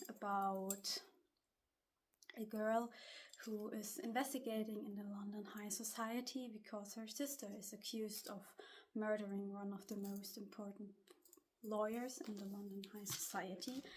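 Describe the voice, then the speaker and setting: A woman with a German accent speaks at a fairly slow pace in a fairly high voice, leaving long, frequent pauses. Her intonation is fairly even, and audible room echo surrounds her. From Germany. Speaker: booktuber and student vlogger. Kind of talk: casual vlog talk. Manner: slightly halting.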